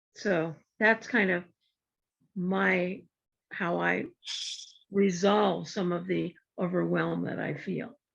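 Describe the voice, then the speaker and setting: A very slow pace with long, frequent pauses. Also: woman. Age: 70s. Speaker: community discussion participant. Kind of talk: casual group discussion. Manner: halting.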